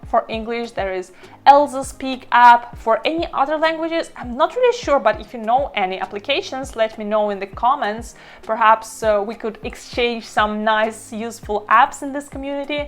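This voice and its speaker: With a slight non-native accent, a woman speaks at a fairly high pitch and ordinary pitch variation. Her loudness swings a lot, and background noise is noticeable. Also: moderate pace. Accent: slight foreign accent in every language. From Estonia. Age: 30s. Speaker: language learning vlogger. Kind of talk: tutorial. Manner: casual, conversational.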